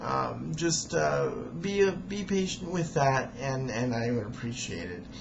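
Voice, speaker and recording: Someone speaks at a fairly slow pace against noticeable background noise. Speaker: amateur storyteller reading own recording. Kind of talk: video introduction monologue. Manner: halting, repeats words; hesitant with many fillers.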